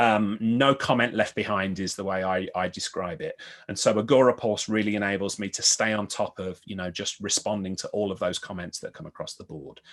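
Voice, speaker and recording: Over a quiet background, a man with a Birmingham accent and a fairly low pitch speaks at a fairly quick pace with hardly any pauses and big swings in loudness. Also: ordinary pitch variation. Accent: Birmingham (Brummie). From Birmingham, England. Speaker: IT business consultant. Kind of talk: podcast interview.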